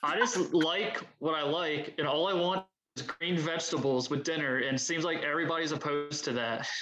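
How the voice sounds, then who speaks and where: Speaking with a Baltimore accent, a man moves at a fairly quick pace with a fairly high pitch and ordinary pitch variation. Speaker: firefighter paramedic; podcast guest. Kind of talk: casual, profane banter.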